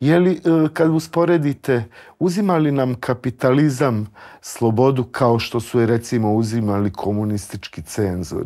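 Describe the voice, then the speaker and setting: Against a quiet background, a man speaks with lively intonation in a dark, mellow tone at medium pitch. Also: moderate pace. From central Bosnia. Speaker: talk show host. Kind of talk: interview. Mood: calm, respectful, thoughtful. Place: studio. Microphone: lapel.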